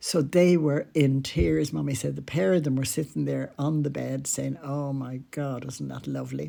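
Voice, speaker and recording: The speaker has an Irish accent and a moderate pace. There are hardly any pauses. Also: woman. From Ireland. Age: 80s+. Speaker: podcaster. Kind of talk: storytelling. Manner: conversational.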